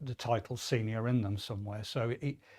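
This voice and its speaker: Somewhat breathy and at medium pitch, a man with a Midlands accent speaks at a moderate pace in a fairly even intonation. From English Midlands. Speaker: apprenticeship programme lead at a business school. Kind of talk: webinar interview. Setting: studio.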